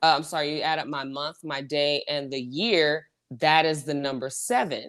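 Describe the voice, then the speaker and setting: With an American accent, a woman speaks at a very deep, low pitch. Her pitch variation is ordinary. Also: moderate pace. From US South, Houston, Texas. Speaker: podcast host. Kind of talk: casual chat. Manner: halting, many false starts and fillers.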